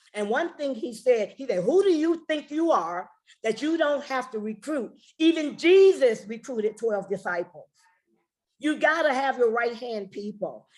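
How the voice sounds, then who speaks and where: An American accent and an animated tone carry this woman's high-pitched voice at a moderate pace. Her pitch swings very widely. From US Midwest, Chicago. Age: 60s. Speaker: network marketing leader. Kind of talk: motivational training talk.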